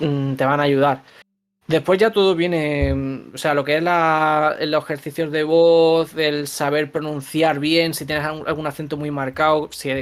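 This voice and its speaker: A man with a plain, everyday voice speaks at a moderate pace with a fairly high pitch and fairly even intonation. The recording is very clean, with a silent background. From Andalusia, Granada (Spain). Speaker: voice actor. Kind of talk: interview.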